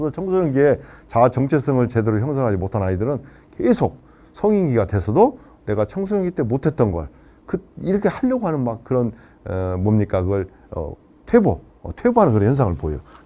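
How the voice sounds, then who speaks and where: A man's medium-pitched voice, dark and mellow in tone, with very wide pitch swings and long, frequent pauses. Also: fairly quick pace. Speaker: lecturer on life planning. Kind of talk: lecture. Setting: live online session. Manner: fast.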